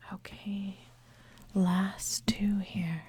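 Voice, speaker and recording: The speaker is whispering. The voice is soft-spoken. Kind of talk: ASMR guessing game. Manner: soft-spoken, whispered.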